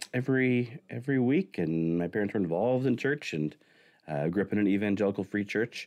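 A man's fairly low voice with an American accent, a plain, everyday voice, lively intonation, very even loudness and a fairly quick pace. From Arkansas, US South. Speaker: pastor. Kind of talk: casual chat.

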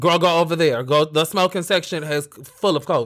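Loud and animated, a man with a high pitch talks at a fairly slow pace in a very clean recording with a silent background. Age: 30s. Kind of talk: casual chat, comedic banter. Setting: live video stream. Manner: loud, animated.

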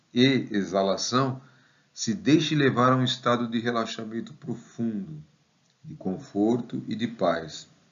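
Speaking at a fairly slow pace, a man with a medium pitch uses lively intonation and big swings in loudness. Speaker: meditation guide and math professor. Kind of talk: guided meditation. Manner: slow, calm, soothing, gentle pacing with pauses; soft-spoken.

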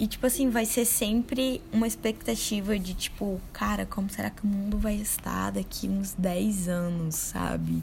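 The speech moves at a fairly slow pace with hardly any pauses. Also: woman. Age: 20s. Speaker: podcast co-host. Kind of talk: casual chat.

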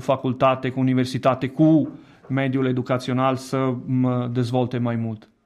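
A medium-pitched man with an Italian accent, at a fairly slow pace, over a quiet background. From Italy. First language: Italian (speaking Romanian). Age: 30s. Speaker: education director. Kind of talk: radio interview. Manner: halting.

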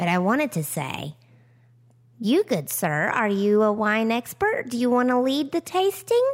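A woman with a fairly high voice swings her pitch very widely. She talks at a moderate pace. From Tennessee. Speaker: podcast host. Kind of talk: casual chat. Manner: self-conscious about voice.

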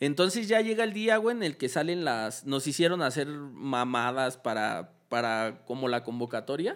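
A man at a fairly high pitch with very wide pitch swings and a fairly slow pace. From Mexico. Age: 20s. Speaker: graffiti artist and festival decorator. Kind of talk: casual chat. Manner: casual, heavy slang.

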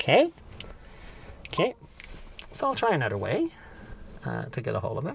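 A man at a fairly quick pace with long, frequent pauses, over noticeable background noise. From Quebec, Gaspé. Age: 50s. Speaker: antique car owner and record collector. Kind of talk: casual chat. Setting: in a car.

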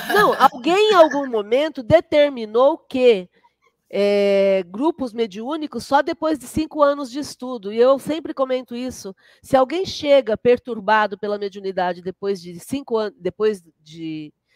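A woman's high-pitched voice with very wide pitch swings and big swings in loudness, in a dry, close sound with no echo. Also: fairly slow pace. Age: 50s. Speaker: spiritist centre leader and therapist. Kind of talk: casual interview.

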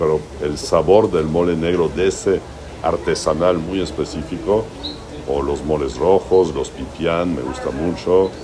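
A man speaks at a fairly slow pace in a very deep, low voice. There is noticeable background noise. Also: fairly even intonation. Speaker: chef and restaurant owner. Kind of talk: interview. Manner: halting, with repeated words.

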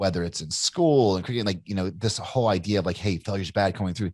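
Here is a man with an American accent and an ordinary speaking voice, pitched fairly low with ordinary pitch variation. The background is quiet. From Kentucky, US South. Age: 40s. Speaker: entrepreneur and author. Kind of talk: casual interview.

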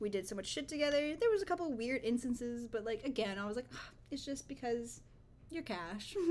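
A woman talks at a fairly quick pace with a high voice and lively intonation. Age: 20s. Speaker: podcast co-host. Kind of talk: casual chat.

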